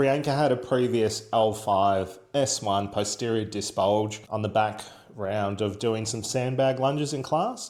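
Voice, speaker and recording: Speaking with a strong Australian accent, a man uses ordinary pitch variation. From Australia, Werribee (Melbourne). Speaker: clinic owner and physiotherapist vlogger. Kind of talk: vlog and clinical consultation. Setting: clinic. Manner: loud.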